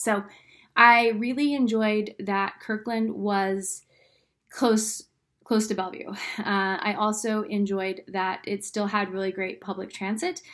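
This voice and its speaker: A woman speaks fairly slowly in a normal speaking voice, pitched fairly high. Her intonation is fairly even, on a very clean recording with a silent background. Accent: American. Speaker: real estate agent. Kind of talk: informational video talk to camera.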